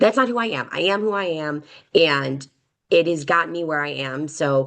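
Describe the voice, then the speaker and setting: Speaking at a moderate pace, a woman with an American accent uses lively intonation on a very deep, low pitch. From Chicago, South Side. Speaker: construction tech leader, panelist. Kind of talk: panel webinar discussion. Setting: online webinar. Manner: loud and brash; passionate, animated.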